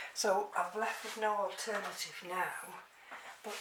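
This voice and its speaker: Amid noticeable background noise and audible room echo, a woman talks in an English accent. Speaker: orchid hobbyist vlogger. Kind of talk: tutorial. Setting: at home. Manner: halting.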